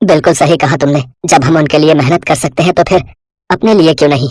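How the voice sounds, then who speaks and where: A man's put-on character voice, fairly high-pitched, with ordinary pitch variation and a very fast pace. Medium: read story.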